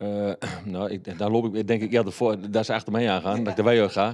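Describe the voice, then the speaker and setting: The speech keeps a moderate pace over a quiet background. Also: man. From Haaksbergen, Twente, eastern Netherlands; Netherlands. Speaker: local politician. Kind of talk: interview. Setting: studio. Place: studio. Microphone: handheld.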